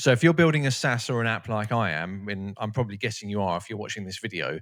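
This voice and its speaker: The recording is very clean, with a silent background. A man speaks with a British accent and lively intonation. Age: 40s. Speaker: YouTuber, no-code SaaS founder. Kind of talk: casual vlog tutorial. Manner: casual, energetic.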